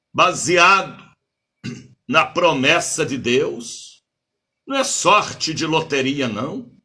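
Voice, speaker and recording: Bright and sharp in tone, a man with a fairly high pitch and lively intonation speaks at a very slow pace in a room with audible echo. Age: 70s. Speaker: bishop and preacher. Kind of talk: sermon. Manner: animated.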